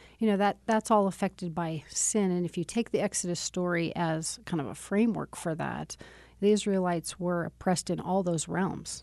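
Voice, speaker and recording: Against a quiet background, a woman with an unremarkable speaking voice talks at a fairly quick pace and fairly low pitch, with fairly even intonation and hardly any pauses. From Wyoming, US. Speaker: seminary professor. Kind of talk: interview conversation.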